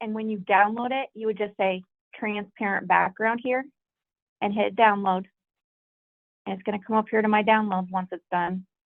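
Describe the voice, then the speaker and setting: A woman of medium pitch talks at a fairly quick pace with monotone, flat intonation and long, frequent pauses. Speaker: small business owner teaching vendors. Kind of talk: tutorial. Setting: video call. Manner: fast.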